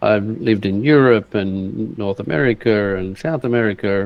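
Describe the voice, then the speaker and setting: A man's fairly low voice comes through in an Australian accent. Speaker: online entrepreneur. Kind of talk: casual chat. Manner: halting.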